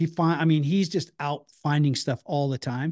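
A man with a plain, everyday voice, fairly high pitch and ordinary pitch variation, in a dry, close sound with no echo and a quiet background. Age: 50s. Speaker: bounty hunter and former MMA fighter. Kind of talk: casual chat.

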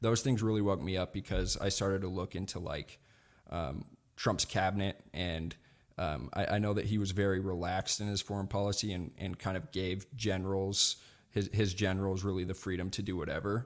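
Fairly quick and fairly even in intonation, a man speaks with a very deep, low pitch. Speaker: political podcaster and libertarian. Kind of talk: casual interview.

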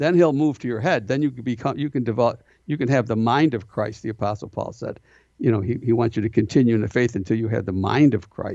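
In a very clean recording with a silent background, a man with an American accent speaks very fast in a dark, mellow, medium-pitched voice with ordinary pitch variation. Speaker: prison minister. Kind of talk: interview.

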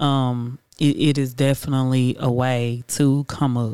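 A Houston accent on a very clean recording with a silent background. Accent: Houston, Texas. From Houston, Texas. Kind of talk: casual chat.

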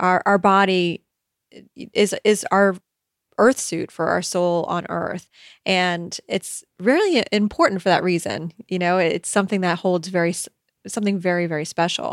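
A woman with an ordinary speaking voice and medium pitch talks at a moderate pace, her intonation fairly even but her loudness swinging widely, in a dry, close sound with no echo. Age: middle-aged. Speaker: podcast host and eating coach. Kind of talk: casual advice monologue.

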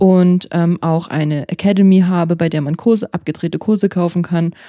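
Recorded very cleanly against a silent background, with a dry, close sound and no echo, a woman speaks at a moderate pace in a fairly low pitch, with a dark, mellow tone and fairly even intonation. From German-speaking country. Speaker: yoga teacher. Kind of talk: casual chat.

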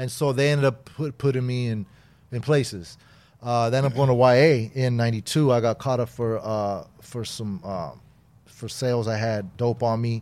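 A man's plain, everyday voice with an American accent, medium pitch, moderate pace and fairly even intonation, on a very clean recording with a silent background. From Southern California, Inglewood. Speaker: former gang member. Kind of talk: interview.

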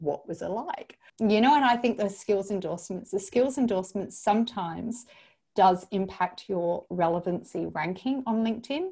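In an Australian accent, a woman speaks at a moderate pace and medium pitch, somewhat breathy, with ordinary pitch variation, on a very clean recording with a silent background. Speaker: LinkedIn coach and trainer. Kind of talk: interview. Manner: animated.

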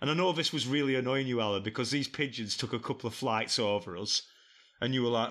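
Recorded very cleanly against a silent background, a man talks at a very fast pace. His medium pitch has a bright, sharp tone and ordinary pitch variation. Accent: English. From England. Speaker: podcast guest, travel companion. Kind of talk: casual chat.

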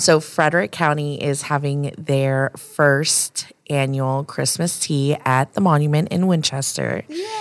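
Amid noticeable background noise, a woman with a very deep, low pitch speaks in an animated tone at a fairly slow pace, with hardly any pauses. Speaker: marketing business owner. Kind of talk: casual chat.

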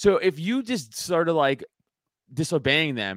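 A man with a New York accent, fairly high in pitch, animated in tone, with very wide pitch swings and a dry, close sound with no echo. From New York City, Staten Island. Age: 30s. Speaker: podcast host and stand-up comedian. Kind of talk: casual chat.

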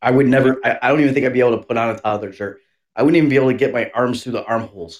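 A man's medium-pitched voice at a very fast pace with ordinary pitch variation. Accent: American. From US Northeast. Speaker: podcast co-host. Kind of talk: casual chat. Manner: animated.

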